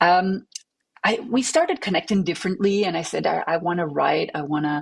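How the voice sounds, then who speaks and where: Talking at a fairly quick pace, a woman with a French accent has a fairly low pitch and ordinary pitch variation. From Belgium, French-speaking family in Flemish area, moved to Montreal at 14. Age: 40s. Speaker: attorney and electronic music artist. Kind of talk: interview. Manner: hesitant, many fillers and repetitions.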